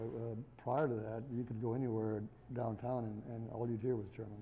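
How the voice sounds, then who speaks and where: A man with an American accent speaks at a moderate pace in a medium pitch, his intonation monotone and flat, his tone dark and mellow, and his voice somewhat breathy. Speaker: Texas German speaker. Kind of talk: interview answer.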